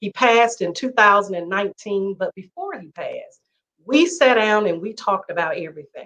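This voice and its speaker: A woman talks fairly quickly in a bright, sharp tone with lively intonation. Her volume swings a lot from moment to moment. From Atlanta, Georgia. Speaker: attorney. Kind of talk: casual chat.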